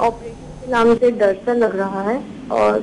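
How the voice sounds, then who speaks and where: Noticeable background noise sits behind a woman's voice. Her pitch is fairly high and her intonation fairly even. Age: 60s. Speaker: caller. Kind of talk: phone-in question.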